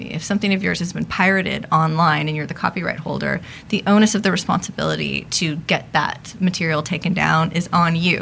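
A woman with a fairly low voice talks at a fairly quick pace with hardly any pauses and ordinary pitch variation, over noticeable background noise. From Los Angeles. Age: 30s. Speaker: sociologist. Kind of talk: casual interview.

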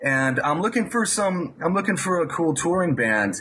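A man's lively intonation and moderate pace come through noticeable background noise. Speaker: guitar teacher. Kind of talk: interview.

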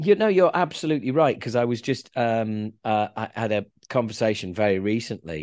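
An unremarkable speaking voice moves at a moderate pace with lively intonation against a quiet background. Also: man, medium pitch for a man. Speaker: podcast host and band singer. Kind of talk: podcast interview.

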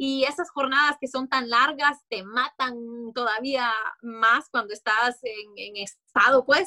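Raised and projected, a woman's high-pitched voice with a bright, sharp tone moves at a very slow pace in a dry, close sound with no echo. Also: ordinary pitch variation. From Honduras. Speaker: TV sports and news presenter. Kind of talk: interview.

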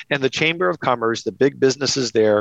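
With a dry, close sound and no echo, a man's speech rushes by at a very fast pace. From Louisiana, Cajun. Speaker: think tank president. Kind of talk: interview.

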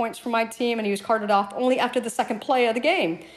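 A woman with an American accent and a fairly high pitch, very fast pace, ordinary pitch variation, and noticeable background noise. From US South. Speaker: fantasy league player. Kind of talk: listener voice message.

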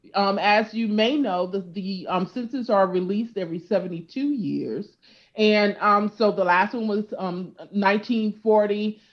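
In an American accent, a woman of medium pitch speaks at a moderate pace in a normal speaking voice with fairly even intonation. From California. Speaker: genealogy expert. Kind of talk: interview.

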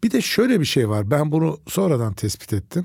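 Here a man's somewhat breathy voice has a dark, mellow tone and very wide pitch swings. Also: very clean recording, silent background. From Turkey, Nazilli (Aegean). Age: 60s. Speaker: oncologist doctor. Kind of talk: casual interview chat.

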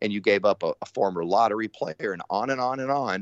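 A man with a plain, everyday voice talks at a moderate pace in a medium pitch. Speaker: sports radio host and broadcaster. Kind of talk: casual sports chat. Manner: joking, laid-back.

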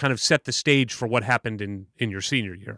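An unremarkable speaking voice from a man with an American accent, fairly quick pace, ordinary pitch variation, and dry, close sound with no echo. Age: 40s. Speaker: podcast co-host. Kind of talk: casual interview. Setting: video call.

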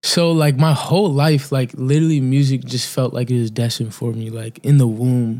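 A man with an American accent and a dark, mellow tone speaks at a moderate pace with hardly any pauses, medium pitch and ordinary pitch variation. The recording is very clean with a silent background. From Cape Cod, Massachusetts. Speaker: songwriter and recording artist. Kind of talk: casual interview.

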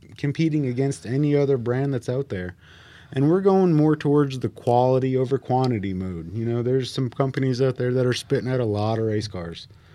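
A man with an American accent, medium pitch, a dark, mellow tone, ordinary pitch variation and a moderate pace, against a quiet background. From North Carolina. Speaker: race car builder and driver. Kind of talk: podcast interview. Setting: studio.

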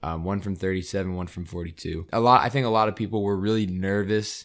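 A plain, everyday voice moves at a fairly quick pace on a very clean recording with a silent background. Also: man. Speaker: sports podcast host. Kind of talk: casual chat.

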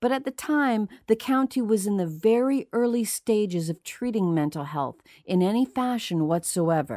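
A woman with a fairly high pitch swings very widely in her intonation, in a very clean recording with a silent background and a dry, close sound with no echo. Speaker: podcast host. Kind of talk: true-crime narration, scripted and read aloud in a measured, storytelling tone. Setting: studio. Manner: measured, somber and hushed, building an eerie, ominous mood; steady and deliberate, clearly enunciated.

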